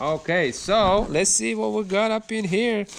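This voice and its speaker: A man with a non-native accent speaks in an animated tone with very wide pitch swings. Noticeable background noise is present. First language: not English. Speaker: car YouTuber. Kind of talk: casual unboxing video.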